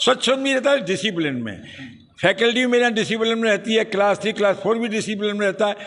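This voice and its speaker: Noticeable background noise sits behind this recording. The man in it talks at a moderate pace. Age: 70s. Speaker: college head. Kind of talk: interview.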